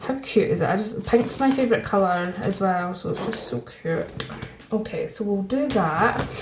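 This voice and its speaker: Audible room echo and noticeable background noise surround a woman's voice. She speaks at medium pitch and a moderate pace with lively intonation. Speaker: budgeting YouTuber. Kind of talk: casual chat. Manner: soft-spoken.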